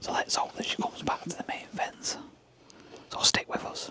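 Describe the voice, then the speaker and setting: Whispered speech from a woman at a moderate pace, noticeable background noise throughout. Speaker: wildlife photographer and video maker. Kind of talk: vlog narration. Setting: outdoor photography hide at night. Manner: hushed, quiet.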